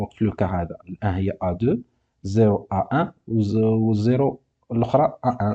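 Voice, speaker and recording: A man at medium pitch talks at a fairly quick pace with ordinary pitch variation, in a dry, close sound with no echo. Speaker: university teacher. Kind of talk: lecture, course exercise explanation.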